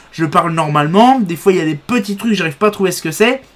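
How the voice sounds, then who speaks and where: The man's voice shows ordinary pitch variation. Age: 30s. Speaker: video blogger with epilepsy. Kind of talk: casual monologue to camera. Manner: halting, word-finding pauses and restarts.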